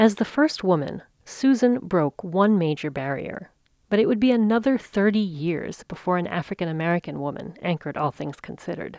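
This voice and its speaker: A woman's medium-pitched voice at a fairly quick pace in a very clean recording with a silent background. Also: lively intonation. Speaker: podcast host. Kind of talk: scripted narration.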